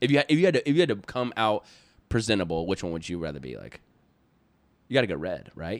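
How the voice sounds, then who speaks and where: A man with a fairly low pitch and vocal fry talks at a very fast pace in an animated tone, with long, frequent pauses. His pitch swings very widely and his loudness shifts a lot. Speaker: podcast co-host. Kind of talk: casual chat.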